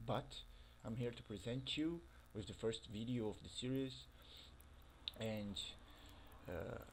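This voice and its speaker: With a Brazilian accent, a man speaks at a fairly slow pace and medium pitch, showing ordinary pitch variation and taking long, frequent pauses. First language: Portuguese. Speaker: gaming youtuber. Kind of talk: casual commentary over gameplay. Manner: halting, with fillers.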